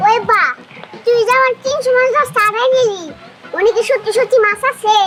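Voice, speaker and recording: A put-on character voice at an extremely high pitch comes through over light background noise. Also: moderate pace. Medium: short film.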